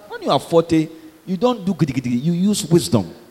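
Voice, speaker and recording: The tone is animated, with very wide pitch swings over noticeable background noise. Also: man. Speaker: pastor. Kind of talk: sermon.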